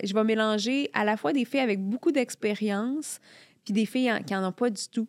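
In a normal speaking voice, a woman talks at a moderate pace with fairly high pitch and ordinary variation, recorded very cleanly over a silent background with a dry, close sound and no echo. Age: 40s. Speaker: journalist and columnist. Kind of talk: casual chat.

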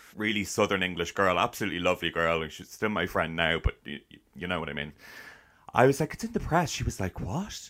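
A man with a Dublin accent, very deep and low in pitch, bright and sharp in tone, at a very fast pace, in a very clean recording with a silent background. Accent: Irish (Dublin area). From Ireland, town near Dublin. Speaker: actor and podcaster. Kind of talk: casual interview chat. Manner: animated.

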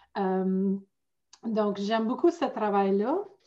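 Dark, mellow female voice at a very slow pace. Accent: Ontario. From northern Ontario, near Sudbury. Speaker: life coach. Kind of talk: casual chat. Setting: video call.

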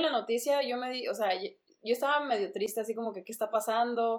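A normal speaking voice keeps a moderate pace. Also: woman. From Mexico, raised in the US from childhood. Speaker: former TV reporter, tech startup community manager. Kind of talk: casual interview. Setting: remote recording.

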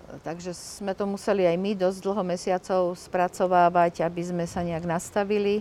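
A woman with a medium-pitched voice talks at a moderate pace in a monotone, flat intonation, with hardly any pauses. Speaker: activist parent. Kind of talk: interview. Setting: outdoors. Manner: halting.

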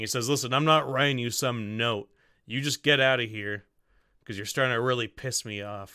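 The pitch moves in an ordinary way. It is a natural reading voice.

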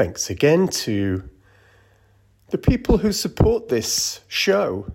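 In a very clean recording with a silent background, a man talks at a very slow pace in a calm, soothing tone with very wide pitch swings. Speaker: meditation guide. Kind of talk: guided meditation. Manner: slow, calm and soothing, with long pauses; gentle, soft-spoken.

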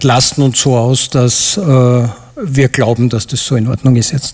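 A man talks at a fairly slow pace while noticeable background noise plays behind him. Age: 40s. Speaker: airline pilot, audience volunteer. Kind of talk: live stage interview. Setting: stage with audience.

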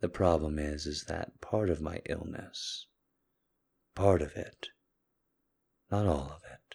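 Speaking at a very slow pace, a man uses a very deep, low pitch and a somewhat breathy voice with fairly even intonation. Long, frequent pauses break up his speech, and his loudness swings widely. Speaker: podcast host. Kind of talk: intimate monologue. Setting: solo recording at night.

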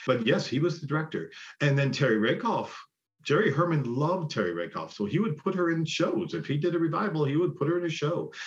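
A man speaks very fast with vocal fry. His pitch varies in an ordinary way. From Buffalo, New York (East Side). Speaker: musical theater actor and singer. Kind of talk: interview.

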